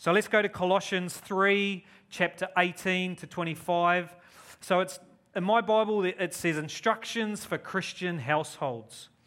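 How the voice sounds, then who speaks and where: At a fairly slow pace, a man with a high pitch speaks with a bright, sharp tone and ordinary pitch variation. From New Zealand. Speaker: visiting preacher and charity partnership manager. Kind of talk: sermon. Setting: church.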